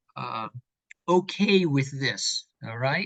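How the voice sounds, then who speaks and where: A man talks at a very slow pace with a fairly high pitch and a bright, sharp tone. The sound is dry and close, with no echo. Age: 60s. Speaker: professor of theology. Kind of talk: interview. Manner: halting.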